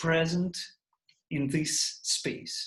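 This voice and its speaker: A man with a Russian accent speaks very slowly in a high voice. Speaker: composer. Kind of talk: online Q&A talk. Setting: video call. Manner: halting.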